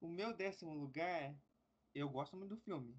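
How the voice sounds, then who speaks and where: Pitch rises and falls in an ordinary way. The delivery keeps a moderate tempo. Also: man. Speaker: podcast host. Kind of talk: casual chat.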